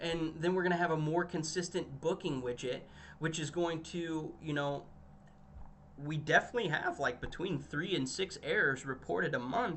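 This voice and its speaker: Over noticeable background noise, a man talks at a moderate pace in a fairly high pitch, with ordinary pitch variation. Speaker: communications director presenting marketing results. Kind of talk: business presentation. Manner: halting, many fillers and restarts.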